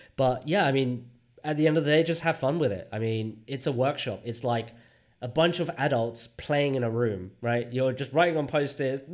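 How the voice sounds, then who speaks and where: A plain, everyday voice from a man, medium-pitched, with ordinary pitch variation at a moderate pace. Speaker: UX design leader and workshop facilitator. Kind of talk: interview. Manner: casual, many fillers.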